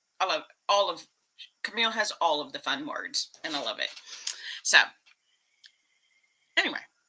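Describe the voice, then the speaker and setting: With an American accent, a woman speaks with long, frequent pauses. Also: moderate pace. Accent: Texas accent, commented on a lot. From Texas. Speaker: YouTube vlogger. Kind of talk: casual live stream chat. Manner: animated.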